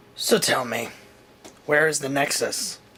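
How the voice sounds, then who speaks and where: A man uses a put-on character voice, raspy and fairly high. He speaks at a fairly slow pace. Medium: audio drama. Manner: smug.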